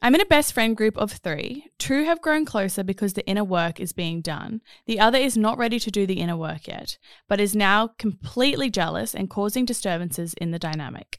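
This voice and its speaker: A woman with an Australian accent talks at a fairly quick pace in a medium pitch with lively intonation, in a dry, close sound with no echo. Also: very clean recording, silent background. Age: 30s. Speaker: podcast host. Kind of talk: casual chat.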